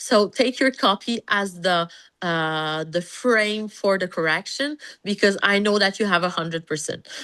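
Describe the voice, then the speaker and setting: Speaking at a fairly slow pace with a French accent, a woman has a medium pitch, a bright, sharp tone and ordinary pitch variation over a quiet background. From Canada, French-speaking. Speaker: pediatrician. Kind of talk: interview conversation. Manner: halting, many fillers.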